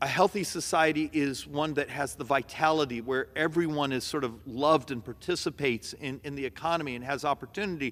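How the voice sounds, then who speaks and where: A man speaks at a fairly quick clip with hardly any pauses, his pitch fairly high and its variation ordinary. He has an unremarkable speaking voice. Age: 60s. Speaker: congressman. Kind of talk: floor speech with slides. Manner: conversational.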